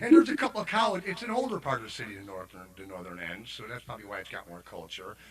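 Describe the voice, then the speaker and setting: With a Chicago accent, a man talks at a very fast pace over noticeable background noise. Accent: Chicago American. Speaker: singer-songwriter. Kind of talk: casual chat.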